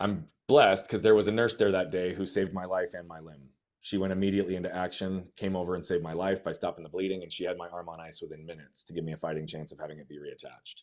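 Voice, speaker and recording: Energetic and very fast, a man with a very deep, low pitch speaks with hardly any pauses, ordinary pitch variation, and big swings in loudness. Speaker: life coach. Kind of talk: personal testimony in podcast interview.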